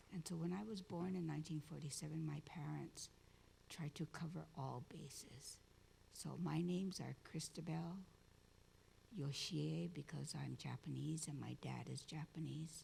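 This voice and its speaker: At a moderate pace, a woman speaks with a Hawaiian accent. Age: 70s. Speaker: community activist and storyteller. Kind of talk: conference talk.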